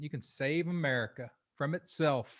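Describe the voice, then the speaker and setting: Over a quiet background, a man speaks in a normal speaking voice. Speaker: podcast host. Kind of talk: podcast intro.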